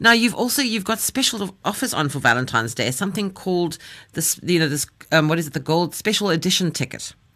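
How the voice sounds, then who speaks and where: A woman with a South African accent speaks very fast in a fairly low, bright, sharp voice, her pitch swinging very widely. The recording is very clean, with a silent background. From South Africa, Cape Town. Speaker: radio host. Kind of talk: radio interview show. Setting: radio studio.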